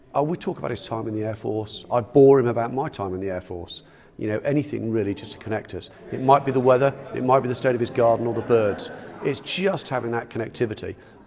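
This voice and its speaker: Very fast speech from a man, with noticeable noise behind him. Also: medium pitch for a man, ordinary pitch variation. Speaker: retired senior air force officer, volunteer befriender. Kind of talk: interview answer.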